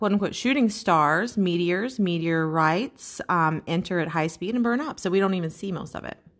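Talking at a fairly quick pace with hardly any pauses, a woman with a fairly low pitch sounds animated, using ordinary pitch variation on a very clean recording with a silent background. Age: 30s. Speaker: podcast co-host. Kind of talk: casual chat.

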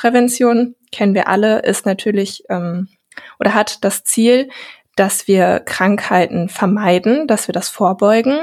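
A woman with a normal speaking voice talks at a fairly slow pace and fairly high pitch, with ordinary pitch variation. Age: 20s. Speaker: health care researcher and podcaster. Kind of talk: podcast interview.

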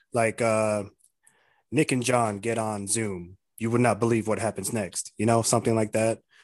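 With an American accent, a man speaks at a medium pitch and a moderate pace. His intonation is monotone and flat, and the background is quiet. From Arizona, US (Tucson). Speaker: podcast co-host. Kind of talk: casual chat.

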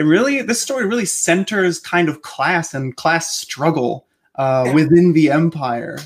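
With lively intonation at a fairly slow pace, the speaker uses a normal speaking voice. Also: man. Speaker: editor and podcast host. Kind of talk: interview, author commentary.

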